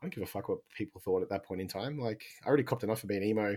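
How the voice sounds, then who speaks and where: Speaking very fast with an Australian accent, the voice comes through on a very clean recording with a silent background. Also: man. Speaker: podcast co-host.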